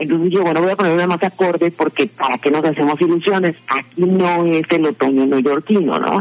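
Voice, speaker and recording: A woman speaks at a moderate pace in a fairly low voice, with hardly any pauses. Her intonation is fairly even, her loudness very even, and there is noticeable background noise. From Mexico. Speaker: podcast segment presenter. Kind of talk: casual chat.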